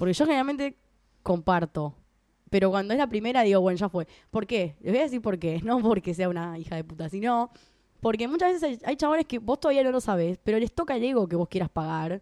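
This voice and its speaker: A woman with a Rioplatense accent talks very fast at a fairly high pitch, with very wide pitch swings and a dark, mellow tone. The sound is dry and close with no echo, on a very clean recording with a silent background. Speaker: podcast co-host. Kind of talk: casual chat.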